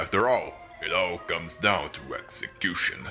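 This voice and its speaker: Using a put-on character voice, a man talks at a fairly slow pace over clear background music. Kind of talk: theatrical showman patter. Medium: audio drama. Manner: grandiloquent, smug, mocking.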